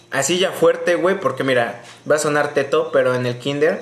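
A man with a Mexican accent talks at a moderate pace amid noticeable background noise and audible room echo. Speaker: podcast co-host. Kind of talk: casual chat. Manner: animated.

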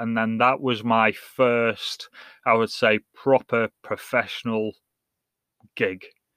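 In an English accent, a man speaks at a medium pitch in a very clean recording with a silent background. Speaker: podcast host and soccer coach. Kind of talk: casual solo podcast monologue. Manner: hesitant, many fillers and repetitions.

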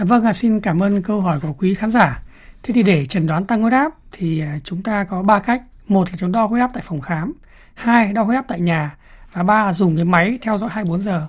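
A woman speaks with lively intonation and a somewhat breathy sound. The recording is very clean, with a silent background. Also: medium pitch for a woman, moderate pace. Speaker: doctor. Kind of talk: radio interview, expert advice. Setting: studio.

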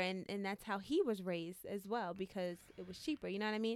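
With ordinary pitch variation, a woman's voice sits at a medium pitch. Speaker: podcast guest. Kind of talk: casual chat. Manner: soft-spoken.

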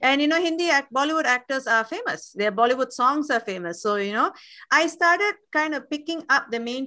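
Against a quiet background, a woman talks fairly quickly in a bright, sharp tone with lively intonation. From Singapore. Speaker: Tamil language educator. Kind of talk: casual interview.

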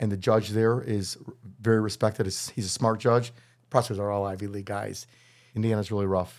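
Over a silent background on a very clean recording, a man with an American accent speaks in a plain, everyday voice at a fairly low pitch and a fairly quick pace. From US Midwest, Chicago north suburbs. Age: 60s. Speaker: criminal defense attorney. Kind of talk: casual interview.

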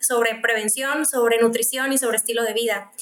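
Her voice sits high in pitch, and this woman keeps her intonation fairly even. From Mexico, Mexicali (Baja California). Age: 20s. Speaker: physician studying clinical nutrition. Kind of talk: casual interview chat.

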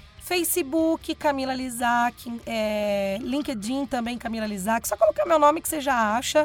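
A woman's high-pitched, fairly slow speech with hardly any pauses and big swings in loudness. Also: ordinary pitch variation. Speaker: radio presenter. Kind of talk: casual chat. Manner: announcer-like delivery.

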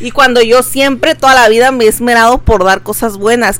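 A normal speaking voice, this woman talks at medium pitch and a moderate pace. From Veracruz, Mexico. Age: 20s. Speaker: podcast co-host. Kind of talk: casual chat.

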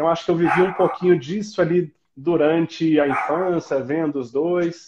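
This man has a fairly high-pitched voice. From southern Minas Gerais, Brazil (Itajubá). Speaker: orthopedic doctor. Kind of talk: interview.

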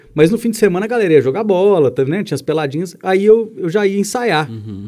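Dark and mellow in tone, a man speaks at a fairly quick pace. His intonation is lively. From Minas Gerais, Brazil (Belo Horizonte). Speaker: musician. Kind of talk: casual chat.

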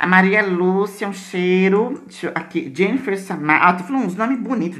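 With a Brazilian accent and an animated tone, a woman speaks at medium pitch amid audible room echo and noticeable background noise. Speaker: podcast host. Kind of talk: casual chat. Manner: animated, frequent laughter.

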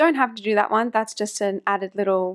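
A woman with an Australian accent talks in a very clean recording against a silent background. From Australia, NSW coast north of Sydney. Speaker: makeup artist and podcast host. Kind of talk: solo podcast tutorial.

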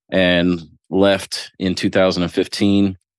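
A man's very deep, low voice in a US Midwestern accent, over a quiet background. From Ohio, US Midwest. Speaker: business owner. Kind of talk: casual interview.

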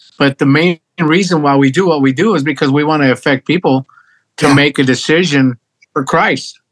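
In a dry, close sound with no echo, a man with a normal speaking voice talks at a fairly high pitch. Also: fairly even intonation, very even loudness. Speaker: band frontman and singer. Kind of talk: casual interview. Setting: video call.

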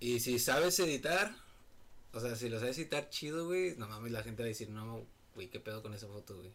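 A plain, everyday voice from a man, medium in pitch, with lively intonation at a fairly quick pace. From Mexico, Monterrey, Nuevo León. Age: 20s. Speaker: photographer. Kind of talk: casual chat.

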